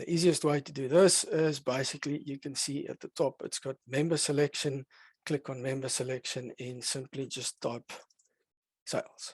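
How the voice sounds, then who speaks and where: A man speaks in a fairly high, monotone voice with flat intonation and big swings in loudness, the sound dry with no echo and the background quiet. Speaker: software product demonstrator; software demonstrator. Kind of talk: software demo webinar. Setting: online webinar. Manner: fast. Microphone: headset.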